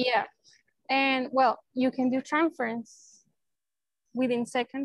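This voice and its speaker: The sound is dry and close with no echo as a woman speaks in a high pitch. She talks fairly slowly in a Spanish accent. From Venezuela (Maracay). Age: 30s. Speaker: neurosurgeon. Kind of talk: casual interview.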